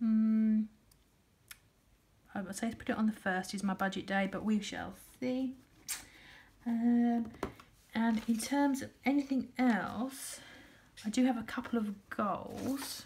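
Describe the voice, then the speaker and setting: With a British accent, a woman speaks at a fairly slow pace, leaving long, frequent pauses. Her voice is fairly high, with fairly even intonation. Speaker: budgeting vlogger. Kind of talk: casual vlog talk. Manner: hesitant, many fillers.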